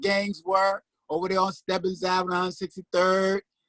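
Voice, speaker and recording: The sound is dry and close, with no echo. A man with an American accent talks in a high pitch with a bright, sharp tone. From New York City, South Bronx. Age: 60s. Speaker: guest. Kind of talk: casual chat.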